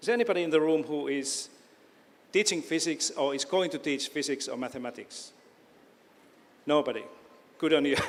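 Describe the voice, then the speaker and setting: With a Finnish accent, a man with a fairly high pitch speaks at a fairly quick pace, with ordinary pitch variation and long, frequent pauses. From Finland, Oulu. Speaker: education professor. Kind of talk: lecture. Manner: halting.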